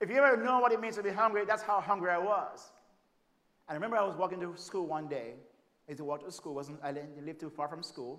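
A man with a Jamaican accent races along at a very fast pace and a high pitch. His intonation is lively, and his loudness swings widely. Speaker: preacher and family therapist. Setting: church stage with audience.

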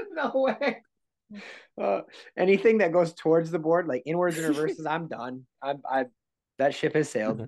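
A man with an American accent speaks at a moderate pace, his fairly high pitch making very wide swings. Long pauses come often. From Minnesota. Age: 30s. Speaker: podcast co-host. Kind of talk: casual interview chat.

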